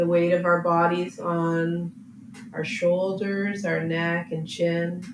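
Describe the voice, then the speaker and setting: Her tone gentle and calm, a woman speaks at a very slow pace with monotone, flat intonation. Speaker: yoga teacher. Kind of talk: guided yin yoga class. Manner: slow, gentle, calm.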